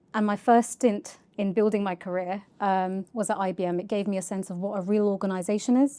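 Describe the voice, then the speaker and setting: A woman with a London accent speaks very fast in a dark, mellow tone at a medium pitch, her intonation fairly even, on a very clean recording with a silent background. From North London, England. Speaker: charity data executive. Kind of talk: podcast interview.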